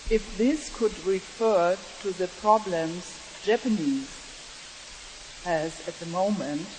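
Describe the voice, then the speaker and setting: A woman's medium-pitched voice at a very slow pace, with ordinary pitch variation and noticeable background noise. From Germany. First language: German. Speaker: audience member asking a question. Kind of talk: audience question at a panel. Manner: halting.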